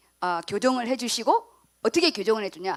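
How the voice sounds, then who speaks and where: A woman speaks loudly, her pitch swinging very widely. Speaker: pastor. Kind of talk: sermon.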